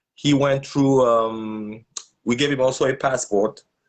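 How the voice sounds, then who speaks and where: A man at medium pitch with a slight French accent, ordinary pitch variation, and a moderate pace, against a quiet background. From Gabon. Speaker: social activist. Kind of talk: interview. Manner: halting.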